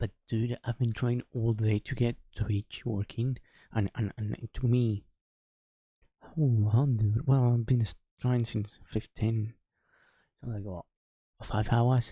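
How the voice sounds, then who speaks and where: A man whispers, somewhat breathy, at a very slow pace with long, frequent pauses and big swings in loudness. The sound is dry and close, with no echo. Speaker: streamer. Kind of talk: casual live stream commentary. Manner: whispering; subdued.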